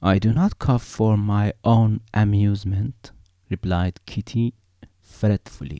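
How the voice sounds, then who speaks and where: A man with a non-native accent speaks very slowly in a fairly low voice, his dark, mellow tone held at a very even loudness, with ordinary pitch movement and a dry, close sound free of echo. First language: not English. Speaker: amateur reader. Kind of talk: audiobook reading.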